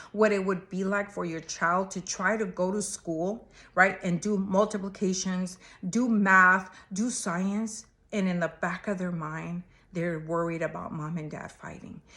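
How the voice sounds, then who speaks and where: A woman with a non-native accent, medium pitch and fairly even intonation, at a fairly slow pace. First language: not English. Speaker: marriage and family therapist. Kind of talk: advice talk to camera. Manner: conversational, casual.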